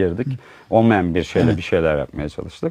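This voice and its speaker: Against a quiet background, a man with a very deep, low pitch talks with lively intonation. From Uşak, western Turkey. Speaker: textile entrepreneur. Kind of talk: interview storytelling. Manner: hesitant, many fillers.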